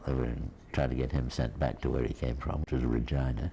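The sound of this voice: Dark and mellow in tone, a man's voice sits at an extremely low pitch.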